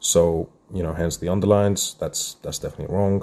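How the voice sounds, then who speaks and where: A man's dark, mellow mumbling in a flat monotone over a quiet background. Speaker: maths tutor. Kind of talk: live math workshop tutorial. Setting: live stream. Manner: casual, thinking aloud.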